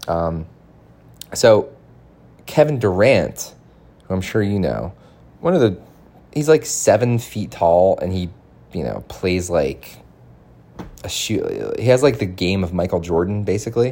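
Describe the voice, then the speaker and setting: This man has a fairly low pitch, a dark, mellow tone, vocal fry and an American accent, with lively intonation. He speaks at a fairly slow pace with long, frequent pauses. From Boston. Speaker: podcast host. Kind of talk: casual monologue. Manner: rambling with frequent fillers.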